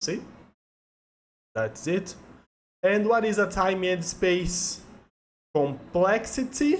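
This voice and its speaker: Very slow delivery in a Portuguese accent, with long, frequent pauses. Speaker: software engineer, tech educator. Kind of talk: tutorial. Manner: halting.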